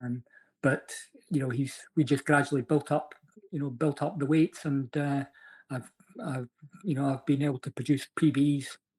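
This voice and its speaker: With a Scottish accent, a man at a fairly high pitch speaks somewhat breathily at a moderate pace, with fairly even intonation and long, frequent pauses, in a dry, close recording with no echo. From Scotland. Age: 60s. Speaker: amateur fitness racer. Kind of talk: podcast interview answer.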